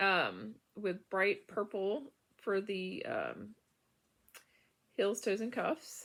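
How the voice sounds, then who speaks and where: A quiet woman's voice at a very slow pace, with long, frequent pauses. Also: very clean recording, silent background. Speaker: knitting podcaster. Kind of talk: casual chat. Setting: bedroom at home. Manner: halting, many fillers.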